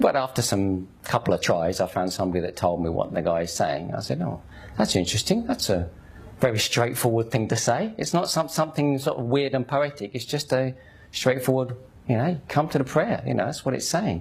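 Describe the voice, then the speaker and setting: A man with a Cockney accent at a fairly quick pace, with vocal fry and very wide pitch swings. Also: medium pitch for a man. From London, East End (Hackney). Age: 50s. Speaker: convert telling his story. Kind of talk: testimony. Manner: animated.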